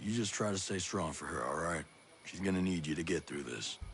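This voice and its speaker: A man speaks at a fairly quick pace in a raspy, very deep, low put-on character voice, with clear background noise. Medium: video game. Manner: terse, gruff.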